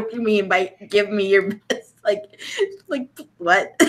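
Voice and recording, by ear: A natural voice reading aloud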